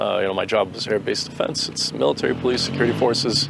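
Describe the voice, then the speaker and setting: Noticeable background noise accompanies this recording of a man. He talks at a very fast pace with a Boston accent. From Boston, Massachusetts. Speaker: soldier, drone operator. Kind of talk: interview. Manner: casual, hesitant with fillers.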